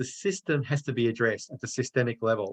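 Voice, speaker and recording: With an Australian accent, a man talks at a fairly quick pace, somewhat breathy, with ordinary pitch variation. The sound is dry and close with no echo. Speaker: author and anti-racism consultant. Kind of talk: online discussion.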